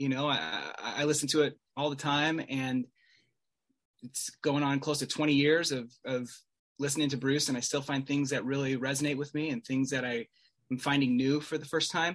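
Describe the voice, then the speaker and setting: Someone with an American accent speaks in a flat monotone at a moderate pace against a quiet background. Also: man, fairly high pitch for a man. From Salt Lake City, Utah. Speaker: Bruce Springsteen fan. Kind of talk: casual chat.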